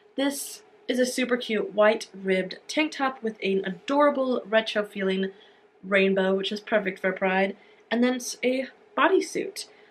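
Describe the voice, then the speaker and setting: With lively intonation and a somewhat breathy sound, a woman talks at a moderate pace in a fairly high pitch. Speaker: fashion and beauty youtuber. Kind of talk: try-on haul review. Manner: casual, filler-heavy.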